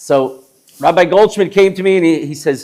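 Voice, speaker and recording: In a New York accent, a man with a high voice speaks at a fairly quick pace in an animated tone. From Brooklyn, New York. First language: Yiddish. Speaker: chef. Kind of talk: live talk to an audience. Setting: synagogue hall with live audience, no microphone.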